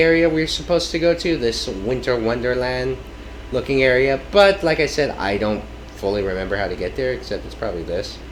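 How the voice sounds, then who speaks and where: Some room echo and noticeable background noise surround a man speaking at a fairly quick pace. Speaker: gaming video creator. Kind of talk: let's play commentary. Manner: loud; hesitant with fillers.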